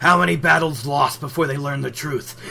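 A gruff, put-on character voice comes through over light background noise. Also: man. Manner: angry.

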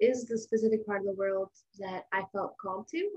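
Moderately paced, somewhat breathy speech from a woman. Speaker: missionary. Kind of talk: interview.

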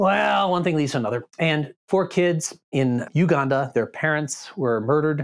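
Very even in loudness and with hardly any pauses, a man with an ordinary speaking voice and a fairly high pitch talks at a moderate pace with ordinary pitch variation on a very clean recording with a silent background. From Boston area, Massachusetts. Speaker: pastor. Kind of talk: casual chat.

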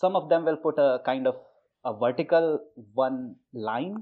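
A man speaks with an Indian accent. His voice is fairly high, with ordinary pitch variation. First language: Hindi. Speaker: guest from India. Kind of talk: casual conversation.

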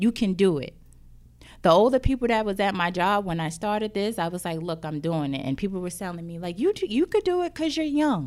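The delivery is fairly quick. Its pitch swings across a very wide range. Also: woman, very clean recording, silent background. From New Jersey, Jersey City. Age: 30s. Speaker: entrepreneur and counselor. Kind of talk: interview, personal testimony. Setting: studio.

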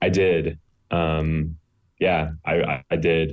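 A man's monotone, flat delivery in an American accent. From US South, Greenville, South Carolina. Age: 20s. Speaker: university student. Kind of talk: interview testimony. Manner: halting, many ums.

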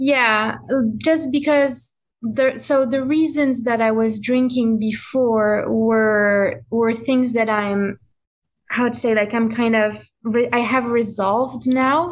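A woman speaks with a French accent at a very slow pace, her pitch fairly high. Her intonation stays fairly even and her loudness very even. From France. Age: 20s. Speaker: person in recovery, small business owner. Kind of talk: casual interview. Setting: video call.

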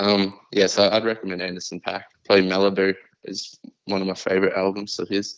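A man with an Australian accent speaks at a fairly quick pace. His fairly low voice is monotone and flat. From Queensland, Australia. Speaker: rapper. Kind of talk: casual interview. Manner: halting.

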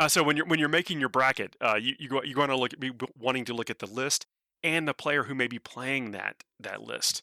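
In a very clean recording with a silent background and a dry, close sound with no echo, a man with medium pitch speaks at a very fast pace in a bright, sharp tone with ordinary pitch variation. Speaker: game commentator and podcaster. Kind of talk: casual chat.

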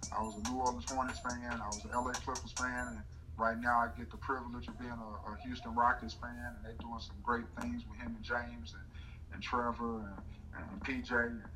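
Audible room echo surrounds a man with a fairly low voice who speaks at a fairly quick pace. His pitch swings very widely, and his loudness rises and falls sharply. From North Carolina. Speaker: comedian and morning radio host. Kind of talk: casual interview.

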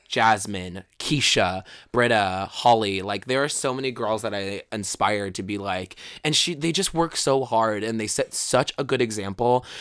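A man with an American accent and medium pitch speaks at a moderate pace in an animated tone. Pitch variation is ordinary, and the very clean recording has a silent background. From Brooklyn, New York. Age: 20s. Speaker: drag queen. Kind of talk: casual chat.

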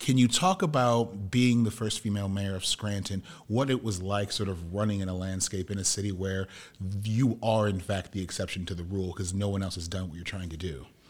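This man has a plain, everyday voice and an American accent. He talks fairly quickly at a fairly low pitch with fairly even intonation. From US Midwest. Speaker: podcast host and media producer. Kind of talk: interview before a live audience. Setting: room with live audience.

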